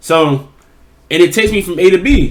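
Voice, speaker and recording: An animated tone runs through the man's speech. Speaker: YouTube reactor. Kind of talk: casual commentary. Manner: fast.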